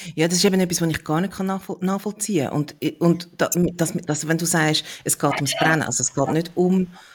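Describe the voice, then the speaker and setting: A woman speaks in a somewhat breathy voice. Her pitch is fairly low. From Switzerland. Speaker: podcast host. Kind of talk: casual interview conversation.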